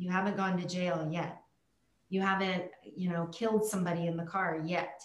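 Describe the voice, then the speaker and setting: This woman talks at a moderate pace in a fairly low, somewhat breathy voice with flat, monotone intonation, and the room gives audible echo. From Germany. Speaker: coach in recovery from alcoholism. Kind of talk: casual interview chat.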